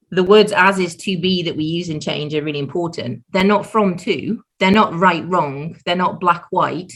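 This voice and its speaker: A woman's fairly low voice with a British accent, at a moderate pace with hardly any pauses and ordinary pitch variation. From Britain. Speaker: change management consultant. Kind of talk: podcast interview. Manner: animated.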